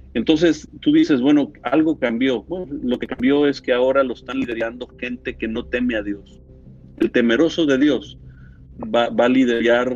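A man at medium pitch, ordinary pitch variation and a moderate pace. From Latin America, moved every few years (El Salvador, Nicaragua, Mexico City). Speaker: politician and pastor. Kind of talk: interview. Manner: halting.

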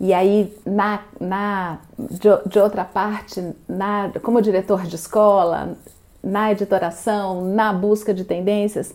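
Very slow, monotone, flat speech from a woman with a medium pitch. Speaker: interviewer. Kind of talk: interview.

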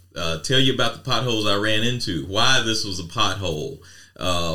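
In a room with audible echo, a man speaks at a moderate pace with a bright, sharp tone, a fairly low pitch and ordinary pitch variation. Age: 50s. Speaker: podcast co-host. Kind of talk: casual chat.

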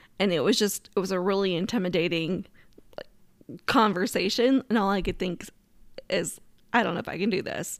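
Speaking at a moderate pace, a woman uses an ordinary speaking voice of medium pitch with ordinary pitch variation. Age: 40s. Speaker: podcast host. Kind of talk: casual personal storytelling monologue.

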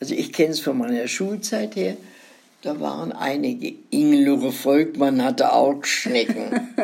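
Audible room echo around a woman's fairly slow speech. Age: 90s. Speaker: grandmother telling life stories. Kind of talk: casual chat.

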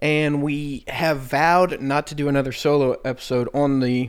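A man speaks at a fairly high pitch and a fairly slow pace. His intonation is monotone and flat. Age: 20s. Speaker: podcast host. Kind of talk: casual chat.

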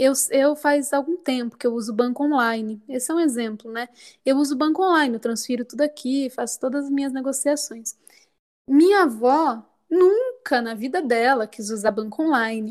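Her voice is high-pitched, with ordinary pitch variation, as this woman talks at a moderate pace. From Sorocaba, interior of São Paulo state, Brazil. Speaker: singer-songwriter and cultural producer. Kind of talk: casual interview.

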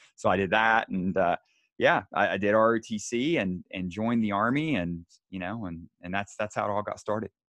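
A man speaks at a fairly quick pace with a Southern US accent, his pitch fairly low and its variation ordinary. The sound is dry and close with no echo, over a quiet background. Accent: Southern American. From US South. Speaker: military nutrition researcher. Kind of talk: interview. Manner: halting, many repetitions.

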